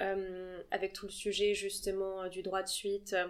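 A woman's voice comes through a very clean recording, the background silent. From Paris, France. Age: 20s. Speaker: art agency founder. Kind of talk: interview.

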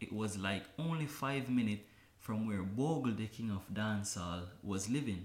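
A man's voice with audible room echo. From Kingston, Jamaica. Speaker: dancer. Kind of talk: interview.

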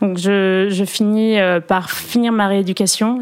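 Her pitch sits at a medium level as a woman talks with monotone, flat intonation. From Perpignan, southern France. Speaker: former modern pentathlete, Olympic organizing staff. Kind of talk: interview.

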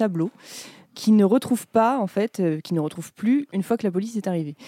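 The sound is dry and close with no echo, in a very clean recording with a silent background. A woman speaks at medium pitch with a dark, mellow tone and ordinary pitch variation. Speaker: podcast host. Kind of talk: casual chat.

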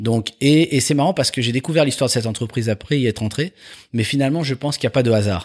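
Talking very fast with normal pitch movement, a man's medium-pitched voice comes through on a very clean recording over total silence. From Paris, France. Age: 50s. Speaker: entrepreneur. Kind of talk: interview.

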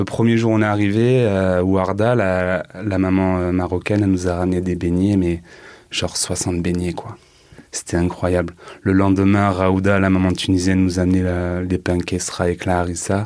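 Here a man speaks at a moderate pace with a very deep, low pitch. His intonation is monotone and flat. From Marseille, France (from age 9, born Paris area). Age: 30s. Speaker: cook. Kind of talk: testimony. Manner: halting.

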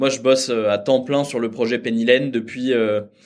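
A man at a medium pitch talks in a monotone, flat way. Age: 30s. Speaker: startup founder. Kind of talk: interview.

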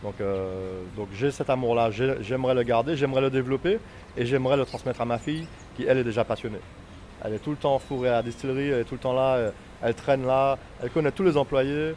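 Ordinary pitch variation marks speech delivered at a very fast pace. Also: man, medium pitch for a man. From Martinique. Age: 40s. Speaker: rum distillery owner. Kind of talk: interview. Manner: halting, many hesitations.

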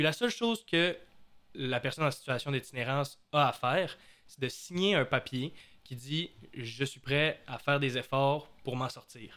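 A man uses a normal speaking voice, pitched fairly high, with ordinary pitch variation. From Quebec, Saguenay. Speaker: podcast host. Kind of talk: casual podcast chat.

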